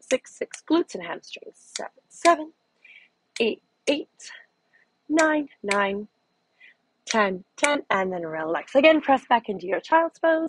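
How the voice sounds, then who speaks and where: Calm in tone, a woman speaks in a high pitch at a fairly slow pace with very wide pitch swings, in a dry sound with no echo over light background noise. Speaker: fitness instructor. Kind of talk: guided exercise class, leading a Pilates workout with cues. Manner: calm, instructional, encouraging; rhythmic counting, paced to the movement. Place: home room.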